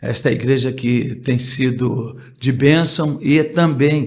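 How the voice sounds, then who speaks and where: Somewhat breathy, a man speaks in a flat monotone at medium pitch, with audible room echo around him. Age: 70s. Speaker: pastor. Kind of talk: interview. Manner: halting.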